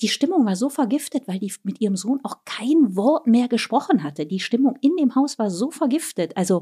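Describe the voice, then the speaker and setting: At a moderate pace, the speaker's dark, mellow tone moves through very wide pitch swings, in a dry, close sound with no echo on a very clean recording with a silent background. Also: woman. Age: 40s. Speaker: author and traveller. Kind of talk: casual chat.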